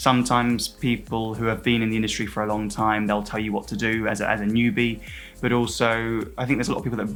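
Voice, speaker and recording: An upbeat man at a very fast pace, with music in the background. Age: 20s. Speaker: cabin crew. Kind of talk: interview answer.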